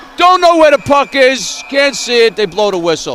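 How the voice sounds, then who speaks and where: There is noticeable background noise behind this man. His pitch is extremely high. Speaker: amateur hockey commentator. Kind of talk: live commentary. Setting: ice rink. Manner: loud.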